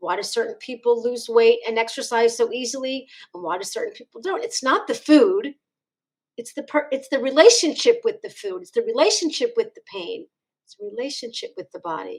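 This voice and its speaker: A woman with a Philadelphia accent speaks at a fairly quick pace, her high voice ranging very widely in pitch. Her loudness rises and falls dramatically. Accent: Philadelphia American. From US Northeast, Philadelphia. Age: 60s. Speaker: chiropractor. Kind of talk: interview.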